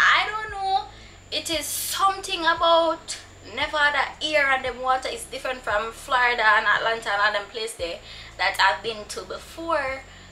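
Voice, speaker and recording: A woman's raised, projected, high voice at a moderate pace, with very wide pitch swings. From Jamaica. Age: 20s. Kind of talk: casual talk to camera.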